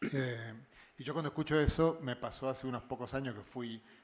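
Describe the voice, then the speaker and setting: Fairly quick male speech at a medium pitch, its intonation fairly even. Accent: Argentine. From Argentina. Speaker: physicist. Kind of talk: panel discussion. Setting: live show. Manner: halting, many fillers and repetitions.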